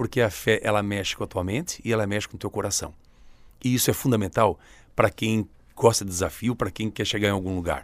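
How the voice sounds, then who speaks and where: A man's fairly low voice races along at a very fast pace, its intonation fairly even, on a very clean recording with a silent background. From southern Santa Catarina, Brazil. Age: 50s. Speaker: vice mayor and former journalist. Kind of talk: radio interview.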